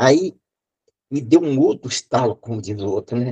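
A man's somewhat breathy voice has a dark, mellow tone and a dry, close sound with no echo. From Brazil, Espírito Santo. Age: 80s+. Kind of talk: testimony. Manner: halting.

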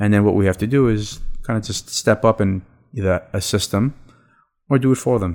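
A man with a New York accent, fairly low in pitch with ordinary pitch variation, at a fairly quick pace broken by long, frequent pauses, on a very clean recording with a silent background. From Brooklyn, New York (born in Israel, moved at four). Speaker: real estate lawyer. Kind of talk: interview conversation.

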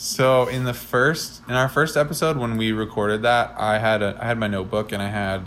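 Talking at a fairly quick pace, a man with an unremarkable speaking voice keeps his intonation fairly even. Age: 20s. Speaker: podcast co-host and aspiring musician. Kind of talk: casual chat. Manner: frequent filler words.

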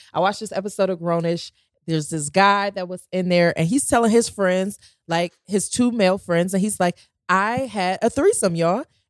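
Delivered at a moderate pace with ordinary pitch variation, the voice has a dry, close sound with no echo. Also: woman, medium pitch for a woman. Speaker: podcast host. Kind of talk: casual chat.

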